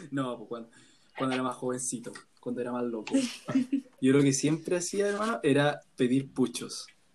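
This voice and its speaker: Pausing long and often, a man of medium pitch speaks at a moderate pace with ordinary pitch variation. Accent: Chilean. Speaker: university student. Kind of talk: casual chat.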